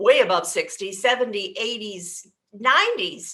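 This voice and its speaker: Raising and projecting her high, bright, sharp voice, a woman speaks at a fairly slow pace with lively intonation. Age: 60s. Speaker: aging life care manager. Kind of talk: casual chat.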